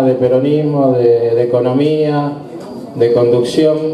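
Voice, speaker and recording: Very slowly and in a monotone, flat way, a man speaks amid audible room echo and light background noise. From Argentina. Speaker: union leader. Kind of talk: welcome speech. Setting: union hall event with audience. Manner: halting. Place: hall.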